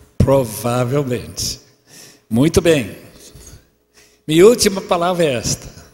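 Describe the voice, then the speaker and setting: Fairly high in pitch and somewhat breathy, a man speaks at a fairly slow pace with very wide pitch swings and long, frequent pauses. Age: 80s. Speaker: preacher. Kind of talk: sermon.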